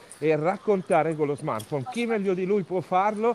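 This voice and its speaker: A man's voice at a moderate pace with lively intonation, over noticeable background noise. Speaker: podcast host. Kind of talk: interview. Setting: outdoors, walking in the street.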